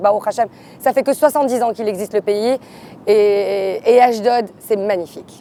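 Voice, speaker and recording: A woman's dark, mellow tone at a fairly quick pace. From Marseille, France. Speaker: hairdresser. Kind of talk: interview testimony.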